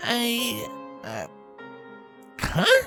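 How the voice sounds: In a put-on character voice with a bright, sharp tone, the speaker moves very slowly through very wide pitch swings while faint music plays in the background.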